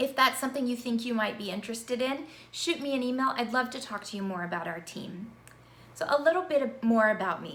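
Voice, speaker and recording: With an American accent, a woman speaks at a high pitch, her intonation lively and her loudness swinging widely. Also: fairly quick pace. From Virginia, US South. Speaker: university instructor. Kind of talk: course introduction video. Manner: conversational.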